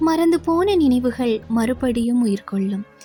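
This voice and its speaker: Music plays behind a woman's fairly high voice. Her intonation is lively. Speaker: radio jockey. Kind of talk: poetry reading.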